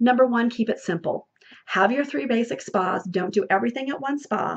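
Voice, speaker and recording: A woman talks at a fairly quick pace with lively intonation. Her pitch is fairly high. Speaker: beauty sales consultant and trainer. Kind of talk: training talk. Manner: fast; animated.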